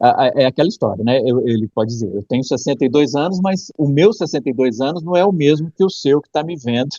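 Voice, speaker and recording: With hardly any pauses, a man rattles along at a very fast pace in a dark, mellow tone, fairly high in pitch, with lively intonation and big swings in loudness, in a dry, close sound with no echo. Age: 50s. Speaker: film critic. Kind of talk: casual chat.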